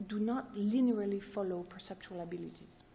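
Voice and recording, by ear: At a moderate pace, a woman talks in a medium pitch with a dark, mellow tone and ordinary pitch variation.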